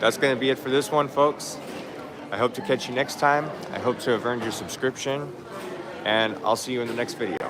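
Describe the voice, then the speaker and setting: Amid noticeable background noise and audible room echo, a man with a medium pitch and ordinary pitch variation speaks at a fairly quick pace, leaving long, frequent pauses. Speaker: orchid channel host. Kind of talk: live stream plant show tour. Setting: orchid show, partly outdoors.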